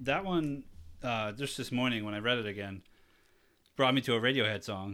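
Speaking with a New England accent, a man uses a bright, sharp tone and ordinary pitch variation at a moderate pace. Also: medium pitch for a man. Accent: New England American. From Taunton, Massachusetts. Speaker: podcast host. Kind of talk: casual chat.

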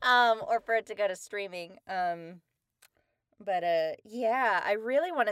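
A woman with a plain, everyday voice and an American accent speaks at a fairly high pitch with lively intonation, in a dry, close sound with no echo. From Texas. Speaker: voice actor. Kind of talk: casual chat.

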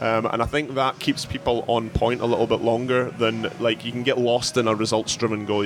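A man with a Scottish accent at a medium pitch, fairly quick and monotone, flat in intonation, with music in the background. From Scotland. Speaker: CrossFit head coach. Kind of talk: casual chat. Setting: gym with class going on nearby. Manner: hesitant, many fillers and repeats.

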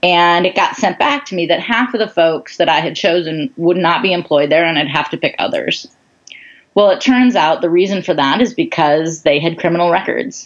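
A woman with a fairly low pitch and an ordinary speaking voice talks at a moderate pace with lively intonation. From US Midwest, suburban Chicago. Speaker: nonprofit founder and entrepreneur. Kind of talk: interview.

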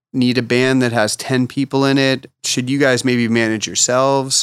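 Using a Californian accent, a man at medium pitch speaks at a moderate pace in a flat monotone with very even loudness, in a dry, close sound with no echo. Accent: Californian American. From Los Angeles. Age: 40s. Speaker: artist manager and restaurant owner. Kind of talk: casual interview chat.

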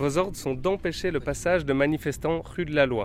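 A man speaks in a normal speaking voice at a fairly high pitch. His pitch variation is ordinary and his pace moderate. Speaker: workshop facilitator. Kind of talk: giving instructions for a role-play.

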